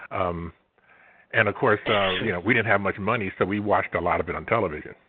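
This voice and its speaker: A fairly low-pitched man at a fairly quick pace. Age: 60s. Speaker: science fiction author. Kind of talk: interview. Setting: phone call. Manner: halting.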